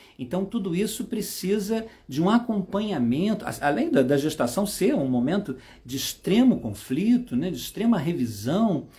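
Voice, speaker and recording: In a Brazilian accent, this voice has a dark, mellow tone, very wide pitch swings and a moderate pace. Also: man, high pitch for a man. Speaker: psychomotor therapist and trainer. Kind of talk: live stream talk. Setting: Instagram live. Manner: hesitant, many fillers.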